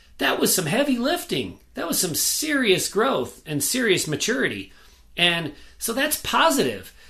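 A man's raised, projected voice, high-pitched with a bright, sharp tone, very wide pitch swings and a moderate pace. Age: 40s. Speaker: podcast co-host, recovering alcoholic. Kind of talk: casual chat.

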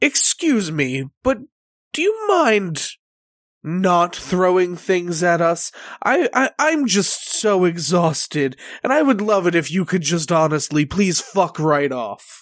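A loud, booming put-on character voice at a middle pitch and a fairly slow pace. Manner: explosive, exhausted and furious.

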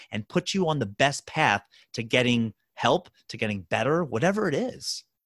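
Against a quiet background with a dry, close sound and no echo, a man with an ordinary speaking voice and an American accent talks at a fairly quick pace, using lively intonation at a medium pitch. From Baltimore, Maryland, US. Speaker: physical therapist. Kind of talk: interview.

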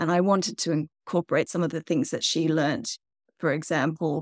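A woman's fairly low voice with vocal fry and an Australian accent, in a dry, close sound with no echo and a very clean recording over a silent background. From Tasmania, Australia. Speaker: novelist and geologist. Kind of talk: interview.

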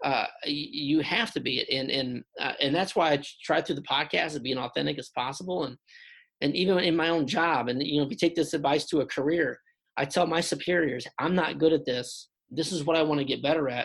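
A man's fairly high, fairly bright voice at a fairly quick pace, with vocal fry, a slightly husky edge and ordinary pitch variation

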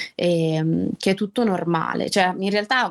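On a very clean recording with a silent background, a woman with a plain, everyday voice speaks at medium pitch with fairly even intonation. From Liguria, Italy (Albenga, province of Savona). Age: 20s. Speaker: school caretaker sharing her illness story. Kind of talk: personal testimony in an interview.

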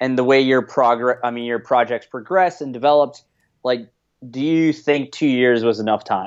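A man speaks in a plain, everyday voice with an American accent, at a medium pitch. His pace is moderate and his intonation fairly even. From United States. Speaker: returned Peace Corps volunteer, guest interviewer. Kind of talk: casual interview chat. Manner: casual, filler-heavy.

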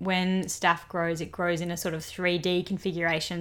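An unremarkable speaking voice from a woman, fairly low in pitch at a moderate pace, in a very clean recording with a silent background. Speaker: doctor, medical podcast co-host. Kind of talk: educational medical podcast chat.

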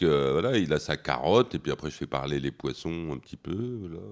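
Very deep and low, a man's voice carries vocal fry. He keeps a moderate pace with lively intonation. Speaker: comics artist. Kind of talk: festival panel talk.

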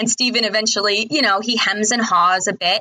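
Fairly quick woman's voice, a normal speaking voice with a fairly high pitch, ordinary pitch variation and an American accent. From New Jersey. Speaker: superfan podcast guest. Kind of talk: casual chat.

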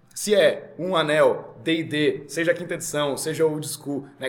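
A man's voice against noticeable background noise. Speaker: RPG game master. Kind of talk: casual chat. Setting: live recording at a game venue.

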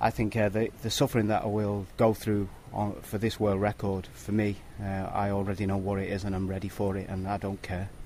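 Fairly low in pitch, a man speaks in a British accent at a fairly quick pace. His tone is dark and mellow, and his intonation is monotone and flat. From Britain. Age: 40s. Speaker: professional cyclist. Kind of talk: interview. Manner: halting.

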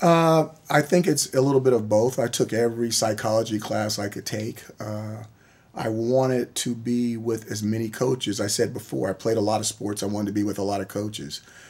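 A man talks in an unremarkable speaking voice. His pitch sits in the middle and varies in an ordinary way. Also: fairly quick pace. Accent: American. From US, military bases nationwide. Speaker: college football coach. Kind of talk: interview.

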